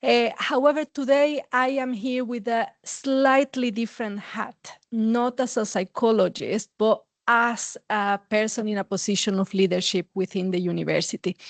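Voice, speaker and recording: With a Mexican accent, a woman speaks at a fairly high pitch and moderate pace with ordinary pitch variation and hardly any pauses, the sound dry and close with no echo and the background quiet. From Mexico. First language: Spanish. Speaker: university administrator and psychologist. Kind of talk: academic conference talk. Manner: frequent filler words.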